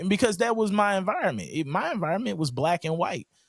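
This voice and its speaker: Loud and high-pitched, a man speaks. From St. Louis, Missouri. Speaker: guest sharing life story. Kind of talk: podcast interview. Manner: boisterous.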